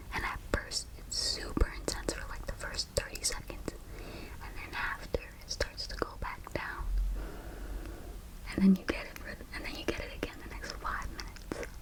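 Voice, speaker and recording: Whispering at a moderate pace, a woman's loudness swings widely over noticeable background noise. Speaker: ASMR creator. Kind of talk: ASMR storytime, personal birth story.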